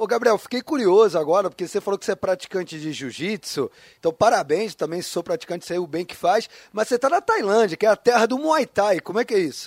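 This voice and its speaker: A man's high-pitched, very fast speech in a dry, close sound with no echo. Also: lively intonation. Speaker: radio sports host. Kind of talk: radio interview.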